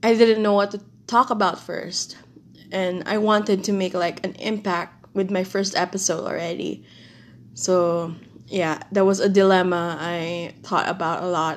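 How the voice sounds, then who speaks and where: Speaking at a fairly slow pace, a woman holds a medium pitch and fairly even intonation. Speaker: podcast host. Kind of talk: casual solo monologue. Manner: halting.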